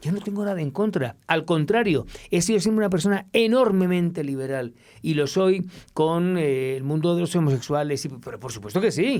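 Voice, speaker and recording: A man speaks at a high pitch and a moderate pace in an animated tone with lively intonation. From Spain (Madrid). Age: 60s. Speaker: reporter. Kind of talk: interview.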